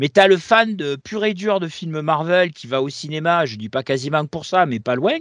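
Recorded dry and close with no echo, a man with a fairly high pitch speaks at a moderate pace. His intonation is lively, with big swings in loudness. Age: 40s. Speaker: comics podcast co-host. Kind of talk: casual chat. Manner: halting, repeats words.

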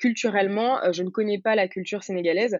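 This woman's intonation is fairly even. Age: 20s. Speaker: entrepreneur, founder of a hair care brand. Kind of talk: interview.

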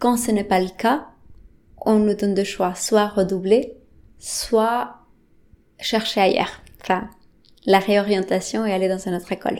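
A woman with a Spanish accent speaks at a medium pitch with ordinary pitch variation, at a fairly slow pace. Her long, frequent pauses fall on a very clean recording with a silent background. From Bolivia. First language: Spanish (speaking French). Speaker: interviewee. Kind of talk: personal testimony.

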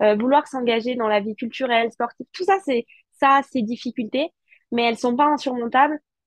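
Her pitch fairly high with ordinary variation, a woman talks at a moderate pace. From Alsace, France. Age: 20s. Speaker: politician. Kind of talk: interview. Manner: hesitant, many repetitions and fillers.

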